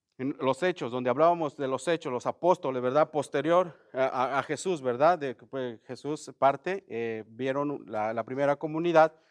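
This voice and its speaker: Delivered at a moderate pace with hardly any pauses, an ordinary speaking voice shows big swings in loudness and ordinary pitch variation, recorded with a dry, close sound with no echo over a quiet background. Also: man, fairly high pitch for a man. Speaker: bible study teacher. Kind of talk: bible study class. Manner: conversational, many filler words.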